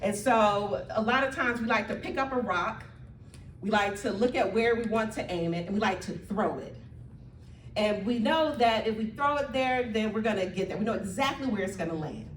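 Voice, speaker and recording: A woman with a fairly high pitch and ordinary pitch variation talks at a moderate pace, with audible room echo and noticeable background noise. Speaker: community organizer. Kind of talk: speech to audience. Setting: church hall with live audience. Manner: loud.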